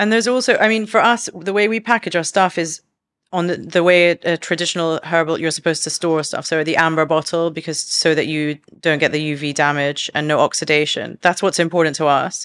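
A woman speaks at a fairly quick pace in a London accent, her pitch fairly low with ordinary variation. The recording is very clean, with a silent background. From London, England. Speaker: herbalist and business co-founder. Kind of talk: casual interview chat.

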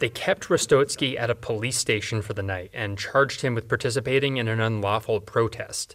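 A plain, everyday voice, a man's at a medium pitch, moves at a fairly quick pace with hardly any pauses and ordinary pitch variation on a very clean recording with a silent background. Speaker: radio reporter. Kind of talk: scripted news reporting. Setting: on location in Armenia. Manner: even, formal newsreading delivery.

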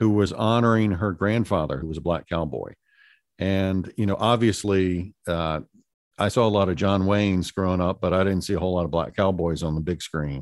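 On a very clean recording with a silent background, the speaker keeps a moderate pace with ordinary pitch variation. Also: man. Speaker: restaurateur and art sponsor. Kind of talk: casual interview chat.

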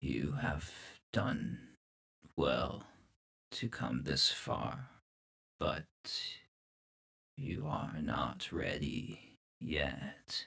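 A man uses a put-on character voice, very deep and low in pitch. He goes at a very slow pace with long, frequent pauses. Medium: actual play. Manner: terse, solemn, cryptic.

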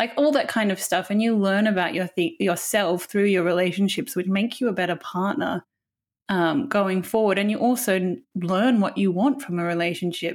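In a very clean recording with a silent background, a woman talks at a moderate pace. She has a normal speaking voice, medium in pitch, with ordinary pitch variation. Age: 30s. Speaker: film magazine editor. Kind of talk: casual chat.

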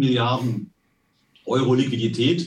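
Speaking at a fairly slow pace, a man uses fairly even intonation in a somewhat breathy voice. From Westphalia, Germany. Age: 60s. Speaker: company finance executive. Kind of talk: interview.

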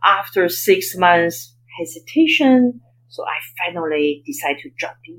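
A voice with a Chinese accent speaks at a fairly slow pace, with big swings in loudness and very wide pitch swings. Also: woman, medium pitch for a woman. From China (Beijing). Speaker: investment banker and author. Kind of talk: interview.

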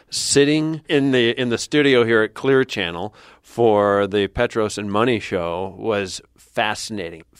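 A man's ordinary speaking voice, fairly low in pitch with ordinary pitch variation, in a very clean recording with a silent background and a dry, close sound with no echo. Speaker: public radio host. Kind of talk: radio interview and intro. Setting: studio.

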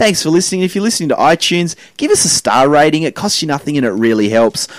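Talking at a very fast pace, a man with an Australian accent comes through with a dry, close sound with no echo. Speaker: comedian and podcast host. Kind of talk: casual chat. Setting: studio.

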